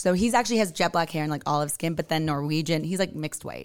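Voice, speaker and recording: A woman speaks with an American accent, a fairly low pitch and ordinary pitch variation. The recording is very clean, with a silent background. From California. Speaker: venue co-owner. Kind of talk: casual podcast interview. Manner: fast talker.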